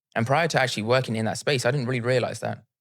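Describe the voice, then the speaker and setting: This man talks at a medium pitch. The recording is very clean, with a silent background. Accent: British. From UK. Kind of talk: interview.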